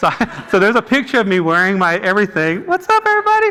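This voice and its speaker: A man speaks at a very fast pace in a raised, projected voice with lively intonation and an animated tone. Noticeable background noise runs underneath. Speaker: artist and screenwriter. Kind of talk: storytelling talk. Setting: stage with audience. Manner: animated, jumping between thoughts.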